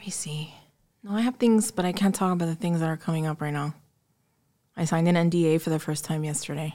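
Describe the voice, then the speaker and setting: With a Miami accent, a woman talks at a very fast pace in a dark, mellow tone, her loudness swinging widely between long, frequent pauses. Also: fairly low pitch for a woman, ordinary pitch variation. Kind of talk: casual chat.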